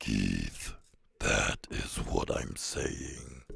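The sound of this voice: In a put-on character voice, a man growls out raspy lines with a sinister, menacing tone.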